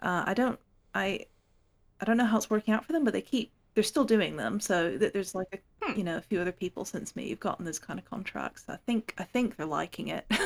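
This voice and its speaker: Talking very fast at a medium pitch with ordinary pitch variation and vocal fry, a woman is heard in a dry, close sound with no echo. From Hong Kong. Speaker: fantasy author. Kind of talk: casual chat.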